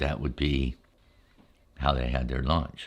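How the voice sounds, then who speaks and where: A man's very deep, low-pitched voice, monotone with flat intonation, on a very clean recording with a silent background. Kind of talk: ASMR storytelling.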